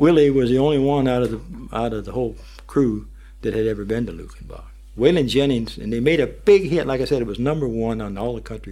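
A man talks at a fairly quick pace with big swings in loudness. Room echo can be heard. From US North, Pennsylvania-Ohio border. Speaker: war veteran and guitarist. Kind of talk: radio interview. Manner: halting.

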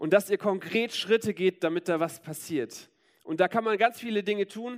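Speaking at a moderate pace with lively intonation, a man is heard in a dry, close sound with no echo. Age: 30s. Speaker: preacher. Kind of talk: sermon.

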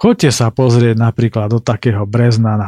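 On a very clean recording with a silent background and a dry, close sound with no echo, a man talks at a medium pitch with a dark, mellow tone. His pace is moderate and his intonation fairly even. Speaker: podcast host and travel narrator. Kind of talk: scripted narration.

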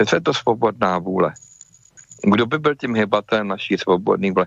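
Dry, close sound with no echo, a man at a fairly low pitch, moderate pace, ordinary pitch variation and long, frequent pauses. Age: 50s. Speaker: inventor and medical device maker. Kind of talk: interview. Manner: casual with many fillers.

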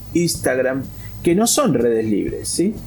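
Audible room echo surrounds the voice. The speaker is a man. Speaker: free software activist. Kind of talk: interview.

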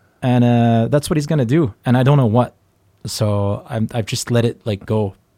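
Dry and close with no echo, the sound carries a dark, mellow tone. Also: man, very clean recording, silent background. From Flanders, Belgium. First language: Dutch (Flemish). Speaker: rock musician. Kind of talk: interview.

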